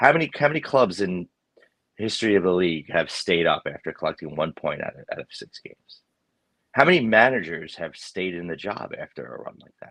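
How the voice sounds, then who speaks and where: A man speaks at a fairly quick pace with big swings in loudness. The sound is dry and close, with no echo. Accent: New York. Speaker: football podcast co-host. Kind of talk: casual chat.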